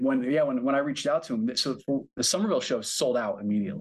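A man talks at a very fast pace with an American accent. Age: 40s. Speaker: record label owner. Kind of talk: casual interview. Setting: video call.

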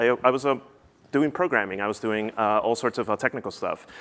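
A man at medium pitch with an American accent, at a very fast pace. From US Northeast, New Jersey. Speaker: app founder. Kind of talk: conference talk. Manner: halting, many fillers.

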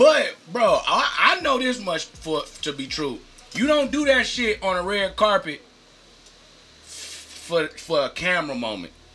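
A man talks at a fairly slow pace, with big swings in loudness. Noticeable background noise is present. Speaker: podcast co-host. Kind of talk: casual chat.

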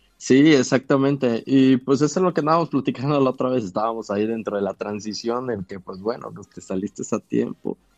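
A man with a normal speaking voice, medium pitch, ordinary pitch variation and hardly any pauses. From Tabasco, Mexico. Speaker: physician. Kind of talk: interview. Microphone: connection problems, audio may cut out.

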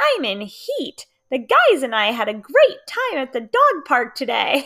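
Someone performs a put-on character voice. The pace is moderate. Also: woman, high pitch for a woman. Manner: funny, playful.

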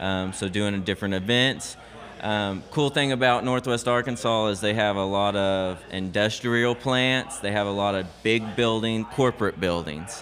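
Noticeable background noise accompanies a man with a fairly low pitch. He talks at a moderate pace with ordinary pitch variation. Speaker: coffee shop owner. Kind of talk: casual interview. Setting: coffee shop.

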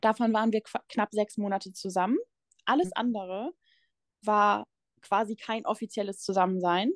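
Over a quiet background, a woman with a fairly high pitch talks at a moderate pace with ordinary pitch variation and long, frequent pauses. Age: 20s. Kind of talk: personal testimony in interview. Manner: halting.

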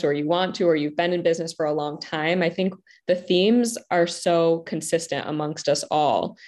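A woman uses a plain, everyday voice at a fairly low pitch. She keeps a moderate pace against a quiet background. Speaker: love empowerment coach. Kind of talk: panel discussion in a live online event. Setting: video call with online audience.

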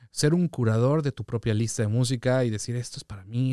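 In a dry, close recording with no echo, a man with an unremarkable speaking voice and a medium pitch talks at a fairly quick pace. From Mexico City. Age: 30s. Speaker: DJ and music producer. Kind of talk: casual chat.

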